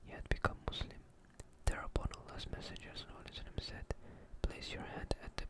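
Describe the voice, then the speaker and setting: Someone is whispering. Noticeable background noise can be heard. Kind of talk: soft ASMR reading of religious texts. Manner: soft, calming.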